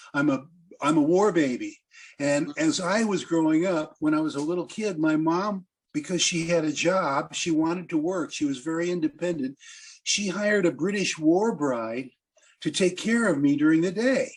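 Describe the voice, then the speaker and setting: This man has a Midwestern American accent and a high pitch. He speaks at a moderate pace with ordinary pitch variation. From US Midwest, Quad Cities, Iowa. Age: 70s. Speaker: blues musician. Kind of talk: interview storytelling.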